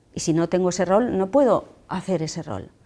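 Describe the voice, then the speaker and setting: Dark and mellow in tone, a woman's medium-pitched voice has ordinary pitch variation in a very clean recording with a silent background. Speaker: public speaking trainer. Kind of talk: lecture. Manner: fast.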